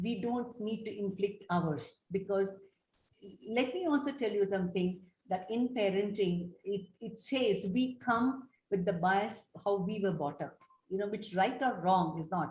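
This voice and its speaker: At a fairly slow pace, a woman speaks at medium pitch with ordinary pitch variation and a somewhat breathy sound. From India, Tamil family. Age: 70s. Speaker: developmental paediatrician. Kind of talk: panel discussion.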